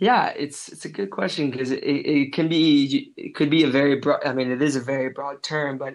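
An ordinary speaking voice from a man with an American accent, fairly high pitch, fairly even intonation and a fairly quick pace. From United States. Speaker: travel filmmaker. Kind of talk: casual interview chat. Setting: outdoor cafe, remote call.

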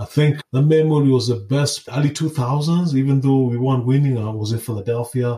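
At a moderate pace, a man speaks in a somewhat breathy, dark, mellow voice of medium pitch with fairly even intonation. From Kenya. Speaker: podcast host, health professional. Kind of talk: solo podcast monologue.

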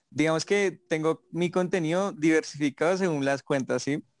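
A man's fairly even intonation in a dry, close sound with no echo and a quiet background. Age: 20s. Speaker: TikToker. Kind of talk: casual chat.

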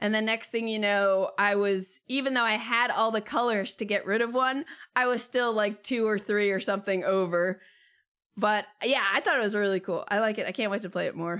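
An unremarkable speaking voice belongs to a woman with a fairly high pitch. She talks at a moderate pace with ordinary pitch variation. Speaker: board game media creator. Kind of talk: casual chat. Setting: video call.

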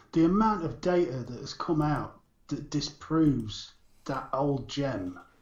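At a fairly slow pace, a somewhat breathy man with a fairly high pitch speaks with lively intonation. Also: big swings in loudness. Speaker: podcast co-host. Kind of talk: casual chat about vaping news.

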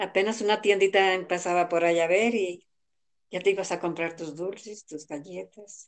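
A woman talks at a fairly slow pace, her medium pitch moving with ordinary variation. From rural central Mexico. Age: 60s. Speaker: elderly interviewee. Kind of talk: interview.

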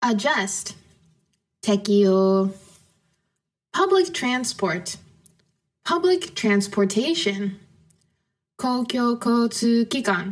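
A somewhat breathy woman speaking at a very slow pace, with long, frequent pauses and very even loudness. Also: medium pitch for a woman, ordinary pitch variation. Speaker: podcast host teaching English to Japanese learners. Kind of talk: casual conversation. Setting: video call.

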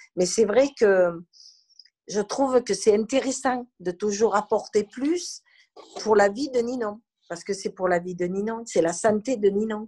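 A woman's voice has a dark, mellow tone and ordinary pitch variation at a fairly slow pace. The sound is dry and close, with no echo. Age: 60s. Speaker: grandmother and carer. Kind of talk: testimony.

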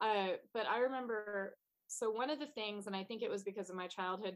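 Here is a woman with an ordinary speaking voice, medium pitch, ordinary pitch variation and a fairly quick pace. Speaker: artist and entrepreneur. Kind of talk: podcast interview. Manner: laughs often.

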